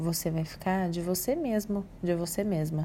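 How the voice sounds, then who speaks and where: A somewhat breathy woman with a dark, mellow, calm tone at a fairly slow pace. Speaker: psychologist. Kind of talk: audio talk on emotional wellbeing.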